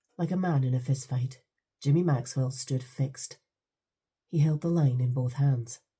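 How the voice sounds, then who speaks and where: A woman with a Scottish accent talks at a fairly slow pace in a very deep, low pitch, her tone dark and mellow and somewhat breathy. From England. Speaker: audiobook narrator. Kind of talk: audiobook narration.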